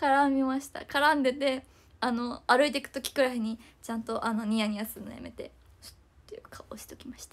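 A woman with a high voice talks at a fairly quick pace with fairly even intonation. Her loudness swings in big ways. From Japan. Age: 20s. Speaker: idol; idol live streamer. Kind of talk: livestream chat. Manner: fast. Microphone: phone near.

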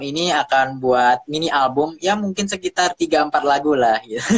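Against a quiet background, a man talks at a moderate pace with a fairly high pitch and ordinary pitch variation. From Indonesia. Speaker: violinist and music producer; guest. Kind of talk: casual chat. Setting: video call. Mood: friendly, relaxed. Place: home room. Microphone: phone near.

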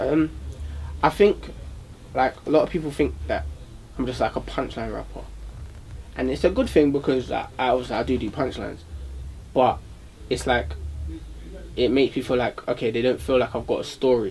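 Against light background noise, a man with a South London accent talks at a fairly quick pace with long, frequent pauses. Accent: South London, multicultural London English. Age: young. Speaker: rapper; interviewee. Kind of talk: casual interview. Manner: hesitant, many fillers. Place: studio.

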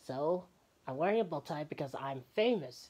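A put-on character voice sits at a middle pitch. It moves at a moderate pace with an upbeat tone. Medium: voice reel. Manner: upbeat, boastful.

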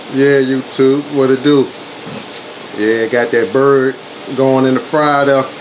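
A man speaks at a fairly slow pace with noticeable background noise behind him. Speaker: home cook vlogger. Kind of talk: casual vlog chat. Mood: relaxed, jokey. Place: kitchen. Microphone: phone near.

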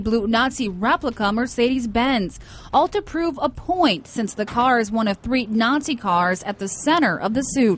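A woman with a high-pitched voice talks at a moderate pace, her intonation lively. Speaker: television news reporter. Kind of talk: TV news report voiceover.

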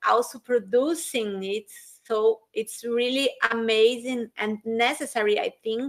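Against a quiet background, a woman with a Portuguese accent speaks very slowly in a high pitch with fairly even intonation. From Brazil. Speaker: education professor and interviewer. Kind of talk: interview. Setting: video call. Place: home room. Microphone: webcam.

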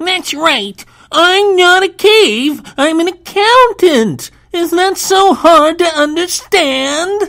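This is a put-on character voice with an extremely high pitch. The delivery is very slow. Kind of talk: comic overacting. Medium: comedy sketch. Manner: indignant, put-upon.

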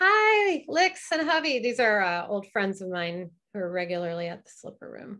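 The tone is bright and sharp, moving at a moderate pace with very wide pitch swings and big swings in loudness. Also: woman, medium pitch for a woman. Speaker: burlesque teacher. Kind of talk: online presentation with Q&A. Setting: video call. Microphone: video call.

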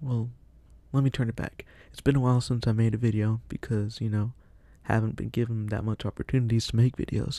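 A soft-spoken man talks at a fairly quick pace in a monotone, flat intonation. The sound is dry with no echo. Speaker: vlogger. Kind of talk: casual monologue. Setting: at family's house. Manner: halting. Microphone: new mic, equalized; studio mic.

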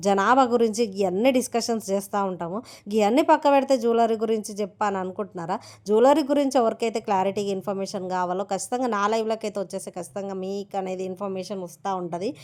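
A woman at medium pitch with ordinary pitch variation, on a very clean recording with a silent background. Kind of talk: sales pitch.

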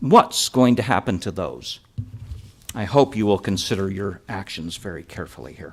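This is a normal speaking voice, a man with a fairly low pitch. He talks at a moderate pace with lively intonation. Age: 60s. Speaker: resident giving public testimony. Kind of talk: public hearing testimony.

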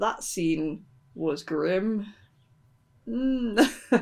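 This woman talks with lively intonation. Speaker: book vlogger. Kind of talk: casual book review vlog. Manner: quiet.

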